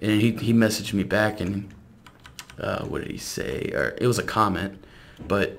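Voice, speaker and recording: A man with an American accent speaks at a fairly low pitch and with fairly even intonation, amid noticeable background noise and audible room echo. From South Louisiana. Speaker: gaming YouTuber. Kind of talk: casual gameplay commentary.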